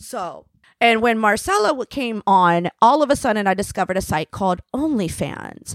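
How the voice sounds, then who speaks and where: A woman with an American accent has an unremarkable speaking voice, a fairly high pitch and lively intonation at a moderate pace. The sound is dry and close with no echo, on a very clean recording with a silent background. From Tampa, Florida. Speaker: former stripper and sex worker. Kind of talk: casual interview.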